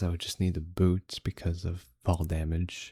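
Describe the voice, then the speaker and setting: Very deep and low, a man's dark, mellow voice is calm and somewhat breathy. He goes at a fairly slow pace in a dry, close sound with no echo. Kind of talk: relaxing gameplay commentary. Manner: calm, unhurried.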